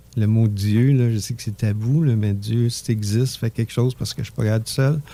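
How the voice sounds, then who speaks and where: With a Quebec accent, a man speaks at a fairly quick pace. His tone is dark and mellow, and his pitch is medium. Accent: Québécois French. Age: 60s. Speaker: entrepreneur. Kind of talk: radio interview, personal testimony. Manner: animated.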